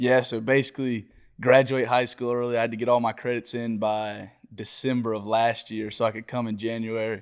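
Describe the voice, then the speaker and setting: A man with a Georgia accent talks at a fairly quick pace in a medium pitch. His intonation is monotone and flat, on a very clean recording with a silent background. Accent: Georgia Southern. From US South, Georgia (Watkinsville near Athens). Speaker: college football player. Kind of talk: casual interview.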